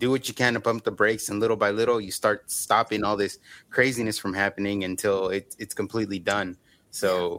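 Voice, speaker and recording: On a very clean recording with a silent background, a man with an ordinary speaking voice talks at a fairly quick pace, fairly low in pitch and with fairly even intonation. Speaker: podcast host. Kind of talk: casual interview.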